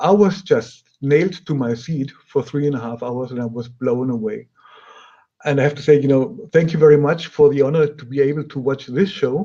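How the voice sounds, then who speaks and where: Speaking at a moderate pace with a German accent, a man has a fairly high pitch, a dark, mellow tone, ordinary pitch variation and big swings in loudness. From Germany. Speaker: audio company product specialist and host. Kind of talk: webinar interview.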